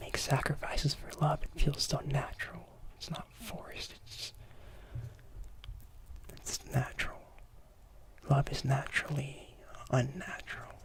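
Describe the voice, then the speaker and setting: Whispering with big swings in loudness, a man speaks at a fairly slow pace with long, frequent pauses over noticeable background noise. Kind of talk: ASMR lecture. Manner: soft-spoken, whispery.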